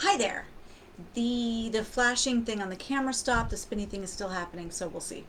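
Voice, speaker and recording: With noticeable background noise and audible room echo, a woman speaks at a fairly quick pace in a fairly high pitch, showing ordinary pitch variation and big swings in loudness. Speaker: self-help coach. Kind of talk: personal story. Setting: livestream on camera. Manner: fast.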